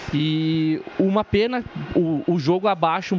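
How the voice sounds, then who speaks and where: Music plays as a man speaks in a fairly high voice, his pitch varying in an ordinary way. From northwestern Rio Grande do Sul, Brazil. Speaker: fan guest commentator. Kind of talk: casual commentary.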